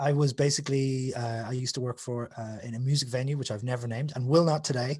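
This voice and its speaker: Somewhat breathy and at medium pitch, a man rushes along at a very fast pace with hardly any pauses and fairly even intonation. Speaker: author and musician. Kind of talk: casual chat.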